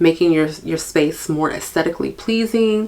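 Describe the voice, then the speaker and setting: A woman with an unremarkable speaking voice, fairly low in pitch, at a fairly slow pace. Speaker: podcast host, stay-at-home mom. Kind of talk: casual podcast monologue. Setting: home recording, video podcast. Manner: chatty.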